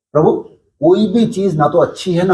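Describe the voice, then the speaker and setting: A man talks with ordinary pitch variation. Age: 60s. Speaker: yoga teacher and local businessman. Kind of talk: interview.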